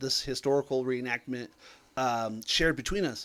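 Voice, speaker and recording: A man speaks at a fairly quick pace in a normal speaking voice. His pitch varies in an ordinary way. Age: 30s. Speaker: tabletop game player. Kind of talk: casual chat.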